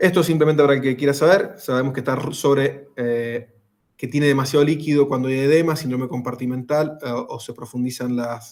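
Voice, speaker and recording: A man's fairly high voice, fairly quick and with fairly even intonation. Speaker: rescue and first aid instructor. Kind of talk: lecture. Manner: fast.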